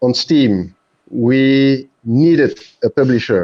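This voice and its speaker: With a French accent, a man speaks at a very slow pace in a dark, mellow tone at medium pitch. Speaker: game developer. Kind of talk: panel discussion. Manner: halting.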